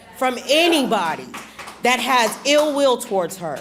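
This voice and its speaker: A woman speaks in an angry tone at a fairly slow pace, her pitch swinging very widely. Noticeable background noise is present. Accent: American. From Texas. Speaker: parent speaking at public comment. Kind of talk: public comment at school board meeting. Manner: angry and emphatic.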